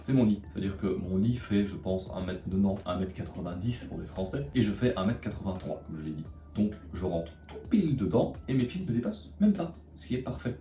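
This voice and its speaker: Over music in the background and audible room echo, a man talks with a very deep, low pitch and lively intonation. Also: moderate pace, big swings in loudness. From Belgium. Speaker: vlogger. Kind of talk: vlog narration. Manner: casual.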